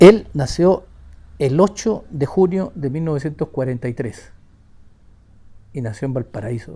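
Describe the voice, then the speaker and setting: A man with a fairly high pitch, a dark, mellow tone and a somewhat breathy voice speaks with lively intonation and long, frequent pauses. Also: fairly slow pace. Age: 60s. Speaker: victim's younger brother. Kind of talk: testimony.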